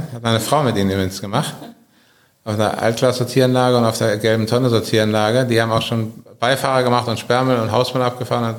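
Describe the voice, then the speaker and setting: Amid audible room echo, a man of medium pitch rattles along at a very fast pace in a monotone, flat intonation. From Germany, Berlin. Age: 50s. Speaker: business owner. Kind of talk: interview. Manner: halting.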